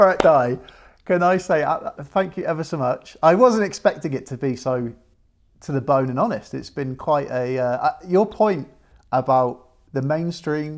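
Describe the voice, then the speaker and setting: A man with a British accent, fairly high-pitched for a man, with lively intonation at a moderate pace against a quiet background. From Britain. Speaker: podcast host. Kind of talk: casual chat. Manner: halting.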